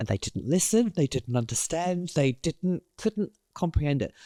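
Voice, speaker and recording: A British accent comes through at a moderate pace on a very clean recording with a silent background. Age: 60s. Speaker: creative director. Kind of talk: interview.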